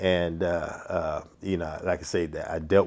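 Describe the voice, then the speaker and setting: A man's very deep, low voice with a slight New York accent, monotone and flat, at a moderate pace, in a very clean recording with a silent background. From New York, Brooklyn. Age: 60s. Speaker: boxing referee. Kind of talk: podcast interview. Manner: halting, many fillers.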